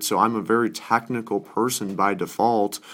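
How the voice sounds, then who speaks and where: This is a normal speaking voice at a moderate pace. The recording is very clean, with a silent background. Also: man. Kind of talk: sales pitch.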